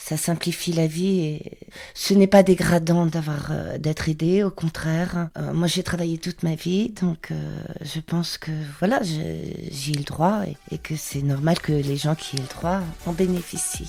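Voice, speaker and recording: Her voice an unremarkable speaking voice, a woman talks at a fairly slow pace and a fairly low pitch with fairly even intonation. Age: 60s. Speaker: market trader. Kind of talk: testimony.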